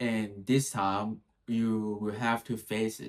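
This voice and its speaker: Speaking at a very slow pace, a man holds a medium pitch. The recording is very clean, with a silent background. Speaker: solo vlogger. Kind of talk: casual monologue.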